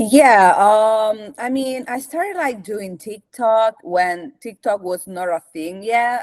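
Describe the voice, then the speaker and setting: A woman's fairly high voice in an Italian accent, very slow in pace, with lively intonation and a dry, close sound free of echo. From Italy, Rome. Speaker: content creator. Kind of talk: casual interview chat.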